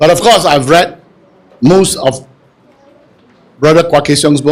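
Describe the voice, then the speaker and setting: A man with a fairly high voice speaks at a moderate pace in an animated tone, with ordinary pitch variation. His loudness stays very even, broken by long, frequent pauses. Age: 60s. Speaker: audience member asking a question. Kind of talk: audience question at book launch.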